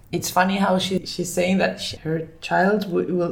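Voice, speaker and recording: A woman speaks at a moderate pace while noticeable background noise is present. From Finland, then Barcelona from age 10. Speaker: food business founder. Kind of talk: interview.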